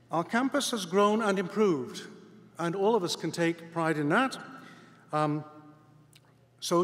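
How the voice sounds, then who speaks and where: The man's delivery moves at a fairly quick pace. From Scotland. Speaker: university president. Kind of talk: commencement speech. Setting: stage with audience.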